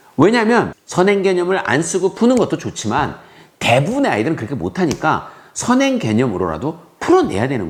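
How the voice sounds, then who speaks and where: Very wide pitch swings in a high-pitched male voice. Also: fairly quick pace. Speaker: math teacher. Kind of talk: opinion monologue to parents and students. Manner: impassioned, fervent; gets loud when passionate.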